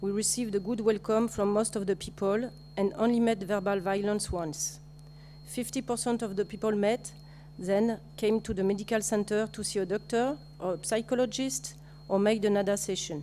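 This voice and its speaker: With a French accent, a woman is heard. She keeps a moderate speed. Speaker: nurse. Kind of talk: conference presentation. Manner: halting.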